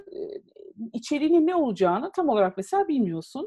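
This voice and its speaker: Her pitch high and her tone dark and mellow, a woman speaks with very wide pitch swings. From Istanbul, Turkey. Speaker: e-commerce professional, agile coach. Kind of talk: interview.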